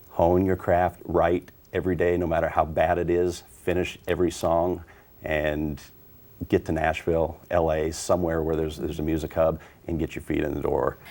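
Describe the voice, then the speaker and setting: Speaking at a moderate pace, a man has a very deep, low pitch and monotone, flat intonation. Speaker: country singer-songwriter. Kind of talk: TV interview. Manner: hesitant, repeats words.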